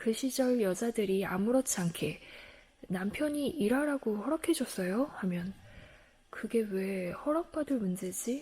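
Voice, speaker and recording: Somewhat breathy and fairly high in pitch, a woman's voice carries a dark, mellow tone and a calm, soothing manner. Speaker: book reader. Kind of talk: audiobook-style book reading.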